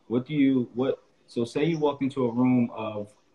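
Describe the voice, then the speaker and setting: A man's plain, everyday voice with an American accent, ordinary pitch variation and a moderate pace. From upstate New York (Albany); New York. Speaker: podcast host, basketball coach. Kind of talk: interview. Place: home room. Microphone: video call.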